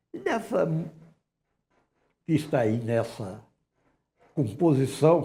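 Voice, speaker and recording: A somewhat breathy male voice at a fairly slow pace, with ordinary pitch variation. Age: 80s+. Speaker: director of a historic house museum. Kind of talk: TV interview.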